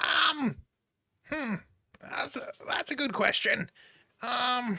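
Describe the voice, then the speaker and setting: Putting on a character voice, a man talks at a very slow pace with an extremely high pitch. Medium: actual play. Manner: hesitant, filler-heavy.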